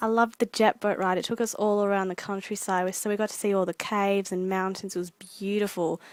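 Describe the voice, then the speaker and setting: Fairly quick and medium in pitch, a woman's voice comes through on a very clean recording with a silent background and a dry, close sound with no echo. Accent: Australian. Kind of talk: casual vlog narration.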